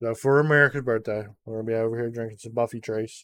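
The man's intonation stays monotone and flat. His voice sits at a medium pitch. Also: very clean recording, silent background. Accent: Southern US. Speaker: podcast host. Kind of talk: casual comedy banter.

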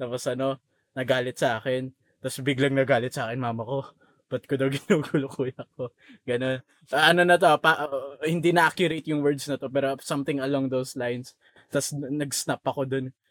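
Here a man has a plain, everyday voice at medium pitch, talking at a fairly quick pace with fairly even intonation. The sound is dry and close with no echo. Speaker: podcast co-host. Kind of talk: casual chat.

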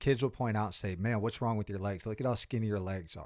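The speaker is a man with an American accent. His pitch sits in the medium range. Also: very clean recording, silent background. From US, Pittsburgh, Pennsylvania. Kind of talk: podcast interview.

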